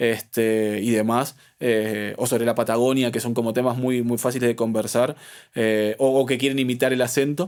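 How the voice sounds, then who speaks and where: In an Argentine accent, a man speaks at a medium pitch and a moderate pace, his intonation monotone and flat. His loudness is very even, and the recording is very clean with a silent background. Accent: Argentine (rioplatense). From Argentina, Buenos Aires. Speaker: sommelier. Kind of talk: interview conversation. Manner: halting, many repetitions and fillers.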